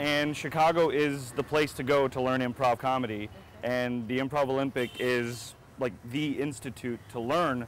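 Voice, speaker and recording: With an American accent, a man talks at medium pitch in a fairly even intonation. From United States. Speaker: comedian. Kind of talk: interview answer. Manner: casual, hesitant.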